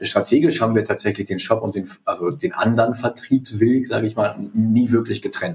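The man's pitch sits in the middle of his range and he speaks fairly quickly. His delivery is somewhat breathy, with lively intonation. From East Westphalia, Germany. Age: 40s. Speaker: company CEO. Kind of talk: interview, business talk.

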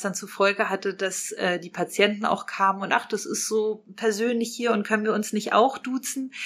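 This woman has a medium pitch and a bright, sharp tone. She talks at a moderate pace with fairly even intonation. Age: 30s. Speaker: dentist and practice owner. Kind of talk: podcast interview.

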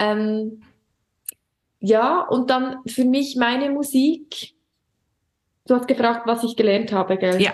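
Spoken in a Swiss German accent at a very slow pace, the voice keeps very even loudness and ordinary pitch variation, broken by long, frequent pauses. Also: woman, high pitch for a woman. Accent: Swiss German accent, audible. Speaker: singer and primary school teacher. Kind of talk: casual interview chat.

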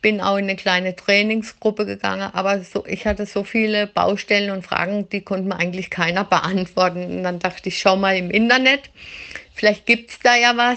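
Here a woman speaks at a moderate pace. Her pitch is medium. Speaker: dog training student. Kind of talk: recorded voice message.

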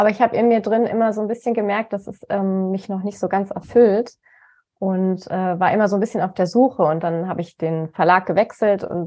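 At a fairly quick pace, a woman talks in a plain, everyday voice with a medium pitch and fairly even intonation. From Germany, Cologne. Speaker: nutrition coach. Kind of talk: interview.

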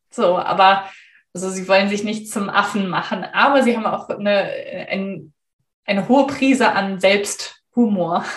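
Speaking at a fairly slow pace in a room with audible echo, a woman uses a medium pitch and ordinary pitch variation. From Germany. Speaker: storyteller and former translator. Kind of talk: interview.

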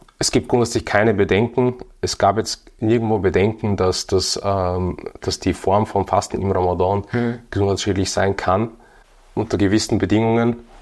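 A man's fairly low, unremarkable speaking voice at a moderate pace, with fairly even intonation, on a very clean recording with a silent background. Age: 30s. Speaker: fitness and nutrition entrepreneur. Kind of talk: casual chat.

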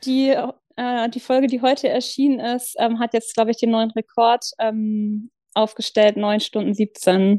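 Fairly high for a woman yet dark and mellow in tone, her voice moves at a fairly slow pace in a flat monotone, with a dry, close sound and no echo. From northern Germany, Lower Saxony south of Hamburg. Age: 40s. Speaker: churchgoer sharing faith story. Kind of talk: personal testimony in casual interview. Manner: hesitant, many fillers.

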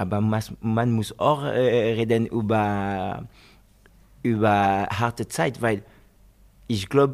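In a French accent, a man talks at a medium pitch. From France, Côte d'Azur, Guinean family. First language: French (speaking German). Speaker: professional footballer. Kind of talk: interview. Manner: halting.

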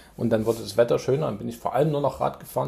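A man is talking. Nothing sounds in the background, and the recording is very clean. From Saxony, Germany (Chemnitz). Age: 40s. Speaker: amateur triathlete. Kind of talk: casual chat. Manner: halting, with many fillers.

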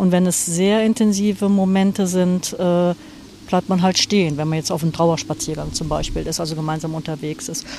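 Over music in the background, a woman talks at a moderate pace and medium pitch, with ordinary pitch variation. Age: 60s. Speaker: hospice grief counselor. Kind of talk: interview. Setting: outdoors on a cemetery bench.

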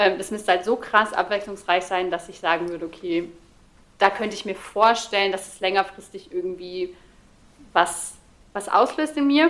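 This woman has a normal speaking voice, medium in pitch with ordinary pitch variation. She talks at a moderate pace. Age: 30s. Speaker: social media creator on ADHD. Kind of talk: casual chat.

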